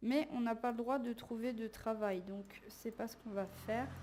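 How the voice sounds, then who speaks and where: The voice carries a dark, mellow tone. Its intonation stays fairly even. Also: woman. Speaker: let's play gamer. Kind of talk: casual gameplay commentary. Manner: monotone.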